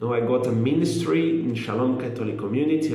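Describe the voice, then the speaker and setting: Room echo can be heard around a man's voice. Background noise is noticeable too. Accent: non-native. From Brazil. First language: Portuguese. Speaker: lay missionary. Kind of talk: testimony. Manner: halting, with fillers.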